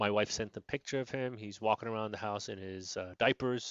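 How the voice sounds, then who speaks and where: Raspy and fairly low-pitched, a man speaks at a moderate pace with fairly even intonation. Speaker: podcast host. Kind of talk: casual monologue. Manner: halting, grasping for words.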